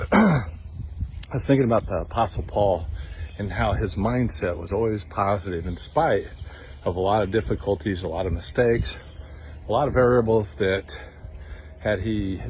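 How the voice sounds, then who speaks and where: Somewhat breathy, a man talks at a fairly quick pace broken by long, frequent pauses. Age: 60s. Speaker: devotional video host. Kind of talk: devotional talk. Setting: outdoors, walking in the woods. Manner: casual, conversational.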